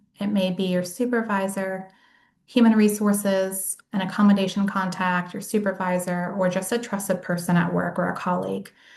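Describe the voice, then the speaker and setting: A woman with an American accent speaks at a moderate pace in a somewhat breathy, medium-pitched voice with monotone, flat intonation. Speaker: case manager and workshop presenter. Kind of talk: lecture.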